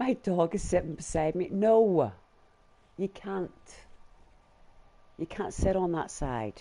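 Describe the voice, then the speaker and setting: With a Northern Irish accent, a man speaks in a high, dark, mellow voice with lively intonation, at a very slow pace with long, frequent pauses. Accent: Northern Irish, muted. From Northern Ireland, Belfast. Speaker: gaming live streamer. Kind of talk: live gameplay stream chat. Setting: at home on sofa with dog.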